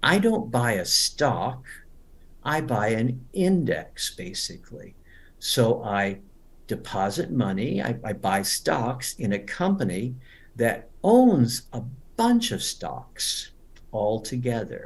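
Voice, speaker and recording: Audible room echo surrounds a man speaking at a very slow pace. His medium-pitched voice is somewhat breathy, with lively intonation. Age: 70s. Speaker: English teacher. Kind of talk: webinar lecture. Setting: online webinar.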